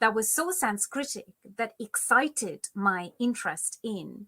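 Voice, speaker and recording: Recorded very cleanly against a silent background, a woman with a Bengali accent speaks in a fairly high voice with a bright, sharp tone. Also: dry, close sound with no echo. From India, Kolkata. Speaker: Sanskrit scholar. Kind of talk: interview.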